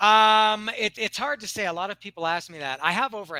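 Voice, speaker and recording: A man with a Canadian accent, a bright, sharp tone, lively intonation and a fairly quick pace, in a very clean recording with a silent background. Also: dry, close sound with no echo. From Canada, Toronto. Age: 50s. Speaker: English tutor. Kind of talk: casual chat. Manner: halting.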